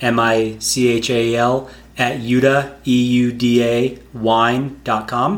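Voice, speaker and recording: With audible room echo, a man in an American accent speaks at a medium pitch. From North Carolina, US. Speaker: winemaker. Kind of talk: casual chat. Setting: host's home.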